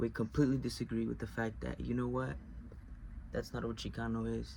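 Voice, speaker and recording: A man with a Spanish accent, at a fairly quick pace. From US, Mexican-American household. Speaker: video essayist. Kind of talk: personal explanatory monologue. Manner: halting, with self-corrections.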